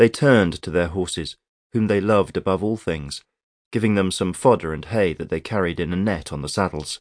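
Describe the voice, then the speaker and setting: Over a quiet background, a man speaks at a fairly quick pace in a very deep, low pitch with a dramatic tone, ordinary pitch variation and a dry, close sound with no echo. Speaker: audiobook narrator. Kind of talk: audiobook narration of historical fiction. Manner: measured, dramatic, vividly descriptive storytelling pace.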